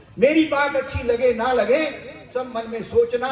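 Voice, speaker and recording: Noticeable background noise sits behind a man's extremely high-pitched voice. His intonation is lively. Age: 60s. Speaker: retired education official. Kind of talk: public speech. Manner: animated.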